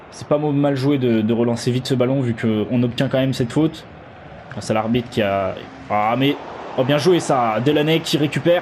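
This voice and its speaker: Noticeable background noise runs through the clip. A man speaks at a medium pitch. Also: ordinary pitch variation, moderate pace. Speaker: gaming youtuber. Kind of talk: live commentary. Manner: loud; animated.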